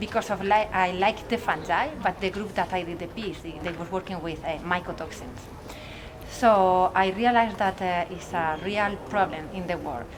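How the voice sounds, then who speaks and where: A woman speaks with a Spanish accent. She keeps a moderate pace and lively intonation. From Spain. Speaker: mycology researcher. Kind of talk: interview.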